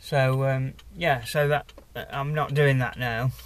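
A man speaks in a somewhat breathy voice. The sound is dry, with no echo. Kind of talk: casual vlog chat. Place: car. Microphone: phone near.

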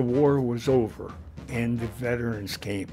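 Over faint background music, the speaker talks at a very slow pace with an American accent and ordinary pitch variation. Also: man. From Pennsylvania, USA. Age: 80s+. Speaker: retired chemical engineering professor. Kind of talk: documentary interview answer. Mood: warm, reminiscing. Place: home room.

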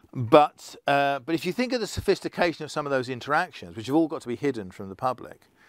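Speaking with an English accent at a fairly quick pace, a man uses lively intonation over a quiet background, with a dry sound and no echo. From England. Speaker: keynote speaker on digital identity; keynote speaker. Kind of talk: conference talk. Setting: online conference session. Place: studio. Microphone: lapel.

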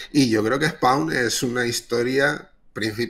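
A man at medium pitch with a bright, sharp tone, over a quiet background. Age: 30s. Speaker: comic artist. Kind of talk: casual chat. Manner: halting. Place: home room.

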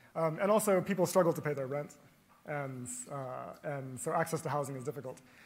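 A man with a fairly high pitch speaks at a very fast pace, somewhat breathy, with ordinary pitch variation and long, frequent pauses. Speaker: professor, panel moderator. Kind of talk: panel moderation. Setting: stage with audience.

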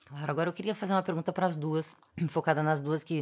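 A woman speaks very fast in a very deep, low voice with fairly even intonation. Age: 40s. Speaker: podcast host. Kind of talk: interview; scripted narration. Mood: warm, engaged. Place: studio.

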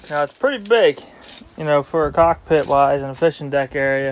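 With fairly even intonation, the delivery keeps a moderate pace. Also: man. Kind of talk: casual vlog tour narration. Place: boat. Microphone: phone near.

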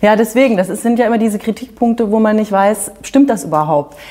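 A woman talks very fast. Her fairly high voice shows ordinary pitch variation. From Hesse, Germany. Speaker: TV presenter. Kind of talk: interview questions. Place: studio. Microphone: lapel.

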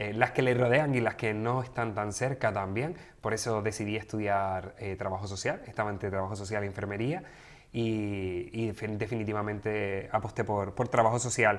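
Moderate pace and ordinary pitch variation from a man with a fairly low voice. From Canary Islands (Gran Canaria). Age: 30s. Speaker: sexologist and social worker. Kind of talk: interview conversation. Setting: studio. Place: studio. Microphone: studio mic.

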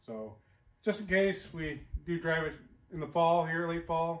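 A man speaks against light background noise. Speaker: vehicle restoration channel host. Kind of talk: casual vlog intro. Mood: relaxed, friendly. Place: garage.

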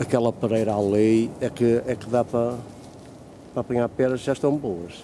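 This man's dark, mellow tone carries fairly even intonation. The sound is dry with no echo, over light background noise. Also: moderate pace. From Portugal. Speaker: video blogger. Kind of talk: casual vlog narration. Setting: outdoors. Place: garden. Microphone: phone near.

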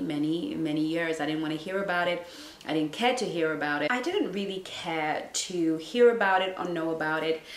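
Speech moves at a fairly quick pace with hardly any pauses, and room echo is audible. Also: woman. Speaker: relationship coach. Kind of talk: casual vlog chat. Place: home room.

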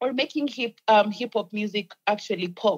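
This is an unremarkable speaking voice. The pace is moderate. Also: woman. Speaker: music publicist. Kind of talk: casual chat.

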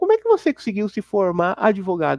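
The man's voice sits high in pitch at a moderate pace, with a quiet background and dry sound with no echo. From Guarulhos, São Paulo, Brazil; São Paulo, Brazil. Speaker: former Jehovah's Witness; Witness. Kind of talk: interview testimony; interview answer. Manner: halting, many fillers. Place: home room. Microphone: lapel.

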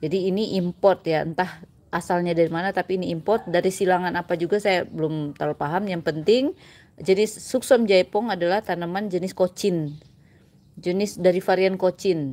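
A woman talks at a fairly quick pace with fairly even intonation. Her tone is dark and mellow. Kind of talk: tutorial. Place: garden. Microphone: phone near.

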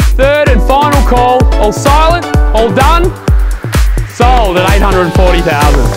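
Loud music plays in the background as a man talks with long, frequent pauses, the sound dry with no echo. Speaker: auctioneer. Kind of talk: property auction calling. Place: garden.

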